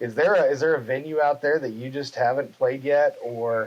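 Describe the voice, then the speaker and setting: A man at a moderate pace with fairly even intonation, amid noticeable background noise. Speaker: podcast host. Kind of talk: casual interview questions.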